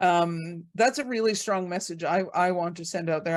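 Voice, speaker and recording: An unremarkable speaking voice from a woman, medium in pitch, at a moderate pace with ordinary pitch variation. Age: 60s. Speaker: host and abuse survivor advocate. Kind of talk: group video call discussion.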